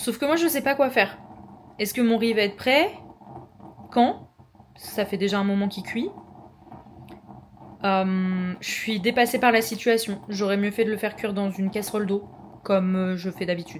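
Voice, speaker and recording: Speaking in a Norman accent, a woman with a medium pitch and ordinary pitch variation keeps a moderate pace, with long, frequent pauses. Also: big swings in loudness. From France, Normandy. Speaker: vlogger. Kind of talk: casual vlog talk to camera. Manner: casual, filler-heavy (euh, genre).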